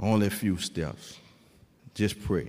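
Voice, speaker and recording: With a New Orleans accent, a man speaks at a fairly slow pace in an animated, warm tone. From New Orleans, Louisiana. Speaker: formerly incarcerated man, author, testimony speaker. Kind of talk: preaching-style testimony to a church congregation, call-and-response. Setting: church stage with a live audience. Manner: animated, rhythmic preacher cadence, exhorting the crowd with repeated 'come on'; warm, humorous and conversational with the audience.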